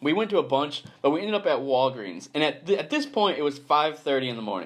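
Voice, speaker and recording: The voice is animated and speaks at a fairly quick pace with vocal fry and lively intonation. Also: man. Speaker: podcast host. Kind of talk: casual chat.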